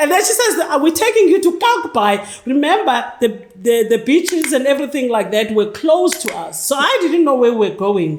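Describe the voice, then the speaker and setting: The speaker uses a South African accent with very wide pitch swings at a fairly quick pace. Noticeable background noise is heard. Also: woman, high pitch for a woman. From South Africa, Cape Town townships. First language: Xhosa. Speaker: NGO leader. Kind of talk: interview. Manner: halting.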